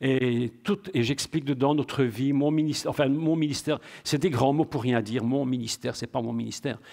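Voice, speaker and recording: With a normal speaking voice at medium pitch, a man talks at a fairly quick pace with ordinary pitch variation in a very clean recording over a silent background. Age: 60s. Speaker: preacher. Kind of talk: sermon.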